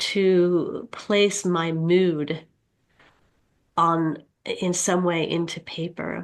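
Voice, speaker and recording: Speaking at a very slow pace with long, frequent pauses, a woman keeps to a flat monotone. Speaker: author and writing instructor. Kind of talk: interview. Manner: halting, hesitant.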